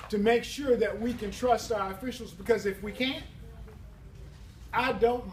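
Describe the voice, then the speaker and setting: The speech has a monotone, flat intonation, broken by long, frequent pauses. Noticeable background noise runs underneath. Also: man. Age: 60s. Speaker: political candidate. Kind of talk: campaign speech.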